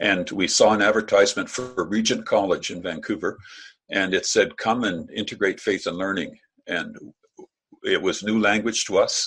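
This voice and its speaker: At a moderate pace, a man talks with a Canadian accent. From Canada. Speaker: professor. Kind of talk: keynote lecture. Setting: video call. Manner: casual, hesitant with fillers.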